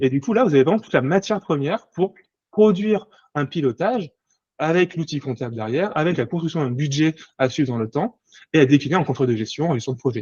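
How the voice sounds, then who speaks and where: Somewhat breathy, a man speaks at a very fast pace and a fairly high pitch with lively intonation. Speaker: management controller and sustainability accounting consultant. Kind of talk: conference presentation. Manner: halting, many repetitions.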